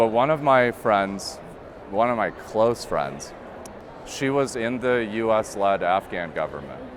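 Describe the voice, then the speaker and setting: Against noticeable background noise, a man with a medium-pitched voice speaks very slowly with lively intonation. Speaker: interviewer. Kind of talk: casual interview conversation.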